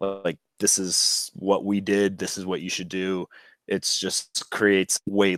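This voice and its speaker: The speaker has an American accent. The recording is very clean with a silent background, and the sound is dry and close with no echo. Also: man. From USA. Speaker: bicycle touring and thrifting vlogger. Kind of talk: casual interview chat.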